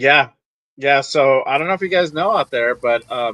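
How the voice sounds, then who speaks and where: Man with a Californian accent, a fairly high pitch, a bright, sharp tone and ordinary pitch variation. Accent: Californian American English. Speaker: football fan commentator. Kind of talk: casual chat.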